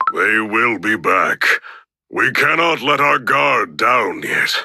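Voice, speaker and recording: A man speaks in a put-on character voice that is raspy. His loudness stays very even. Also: fairly slow pace. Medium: video game. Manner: solemn, formal.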